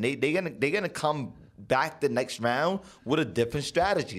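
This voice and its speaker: At a moderate pace, a man talks with vocal fry, a fairly high pitch and very wide pitch swings. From Panama. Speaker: professional boxer. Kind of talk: casual chat.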